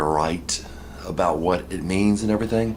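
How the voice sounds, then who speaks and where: A man with an American accent speaks at a moderate pace. His pitch is fairly low. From United States. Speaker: video blogger on religion and politics. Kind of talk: casual monologue. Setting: at home in apartment. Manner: halting, many fillers and restarts.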